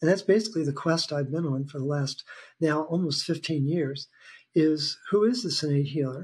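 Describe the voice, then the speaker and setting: An ordinary speaking voice from a man, fairly high-pitched, at a moderate pace and with ordinary pitch variation. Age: 60s. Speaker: health educator. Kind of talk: casual interview conversation.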